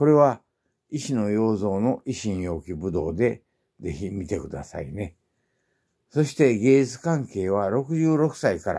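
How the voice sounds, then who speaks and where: In a relaxed, dark, mellow tone, a man speaks at a fairly slow pace and a fairly low pitch, with very wide pitch swings over a quiet background. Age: 80s+. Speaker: artist and martial arts teacher. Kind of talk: elder life story, self-introduction to viewers. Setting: home atelier, filming himself. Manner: slow, leisurely, old man's relaxed delivery with fillers; matter-of-fact, proud yet cheerful about illness and age. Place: home room. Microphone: phone near.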